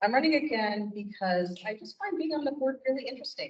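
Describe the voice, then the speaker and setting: A woman speaks with a somewhat breathy voice. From California. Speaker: school board member, candidate. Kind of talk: candidate statement. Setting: public candidates forum. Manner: frequent fillers (um, uh).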